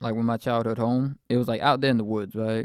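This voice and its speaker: A man's medium-pitched voice is captured very cleanly against a silent background. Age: 20s. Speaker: solo faith podcaster. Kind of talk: personal testimony and bible talk. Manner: animated.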